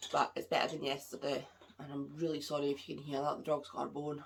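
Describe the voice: A woman speaks fast in a low, nasal voice with vocal fry and monotone, flat intonation.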